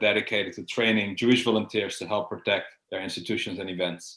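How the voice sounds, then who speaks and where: A man with a Dutch accent at medium pitch, very fast, with fairly even intonation against a quiet background. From Netherlands, Amsterdam. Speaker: security expert. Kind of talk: interview. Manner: hesitant, with fillers and repeats.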